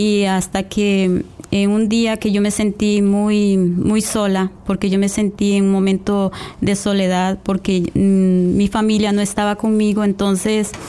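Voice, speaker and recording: A woman with a dark, mellow tone and medium pitch speaks slowly in a monotone, flat way. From Costa Rica. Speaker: lay church coordinator. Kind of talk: radio interview with testimony. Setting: radio studio. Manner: hesitant, many fillers.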